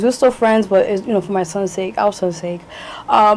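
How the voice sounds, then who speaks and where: A woman talks at a very fast pace with an American accent. Her pitch is in the medium range. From New York, Lower East Side. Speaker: singer, actress, model. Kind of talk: interview answer.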